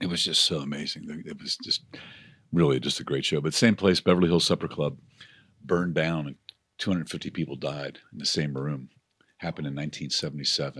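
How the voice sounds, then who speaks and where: A man's very deep, low voice with vocal fry and fairly even intonation. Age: 70s. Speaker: podcast guest. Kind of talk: casual chat.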